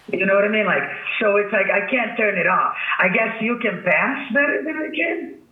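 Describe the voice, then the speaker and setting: Over noticeable background noise, a man talks at a moderate pace in a high voice with lively intonation. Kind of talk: interview answers, casual talk.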